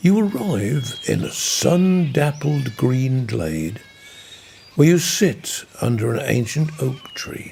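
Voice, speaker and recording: Speaking with a Norfolk accent at a very slow pace, a man uses fairly high pitch and lively intonation over noticeable background noise. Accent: soft Norfolk burr. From Norfolk, England. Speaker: broadcaster. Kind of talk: sleep story. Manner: gentle, soothing, slow.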